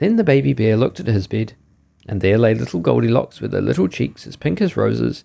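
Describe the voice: What is heard is plain reading aloud.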